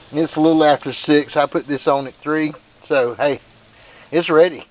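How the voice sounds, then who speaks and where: Over noticeable background noise, a man talks at a moderate pace. His pitch sits fairly high. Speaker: grilling video host. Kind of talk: casual cooking demonstration. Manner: casual, folksy.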